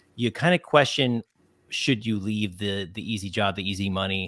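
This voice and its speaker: A man speaks in a plain, everyday voice with an American accent, fairly low in pitch and at a moderate pace. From New Jersey. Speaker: podcast host. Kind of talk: podcast interview.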